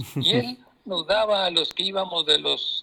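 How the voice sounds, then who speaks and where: A man speaking at a very slow pace. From Mexico, southern Nayarit near Jalisco. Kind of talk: interview.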